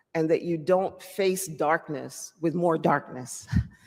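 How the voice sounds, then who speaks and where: The speaker has a slight Jamaican accent. The pace is very slow. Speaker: public hearing speaker. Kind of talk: public testimony.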